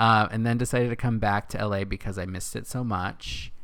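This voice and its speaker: A man's fairly low-pitched, unremarkable speaking voice at a fairly quick pace. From Northern California, Castroville. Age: 30s. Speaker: podcast co-host. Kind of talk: casual chat. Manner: laughs often.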